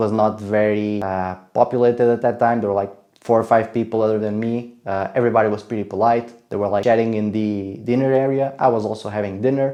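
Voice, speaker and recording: The man talks at a very fast pace in a fairly low pitch. His intonation is monotone and flat, and he has a non-native accent. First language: not English. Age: 20s. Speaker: travel vlogger. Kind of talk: casual travel vlog narration. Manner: hesitant, many fillers.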